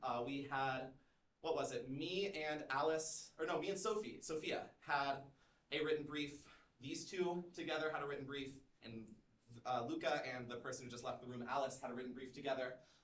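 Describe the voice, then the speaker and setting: A man's fairly high voice with ordinary pitch variation and audible room echo. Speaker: student club founder presenting. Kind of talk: informational presentation. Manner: fast.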